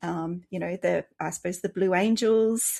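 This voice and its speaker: A woman's medium-pitched voice with an Australian accent, fairly even intonation and a moderate pace. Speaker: children's author, former air force. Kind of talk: interview.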